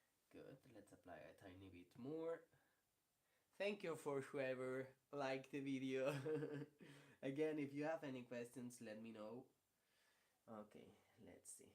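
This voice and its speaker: A man speaks with a Spanish accent and long, frequent pauses. His loudness swings widely. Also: medium pitch for a man, fairly slow pace. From Spain. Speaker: ceramicist. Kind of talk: live tutorial. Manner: slow; halting.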